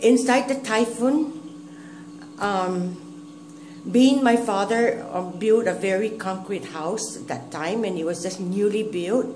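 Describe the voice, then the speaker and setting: A woman with a Guamanian accent speaks at a very slow pace in a medium pitch, her loudness swinging widely, amid audible room echo and noticeable background noise. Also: ordinary pitch variation. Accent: Guamanian (Chamorro) English. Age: 60s. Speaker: grandmother recalling history. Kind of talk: oral history interview. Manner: halting.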